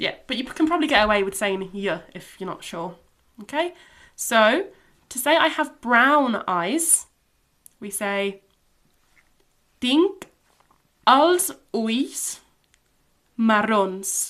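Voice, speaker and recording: A woman's bright, sharp tone at a fairly high pitch, very slow with long, frequent pauses, very wide pitch swings and big swings in loudness, in a very clean recording with a silent background. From Catalonia, Spain. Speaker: language teacher. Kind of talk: tutorial.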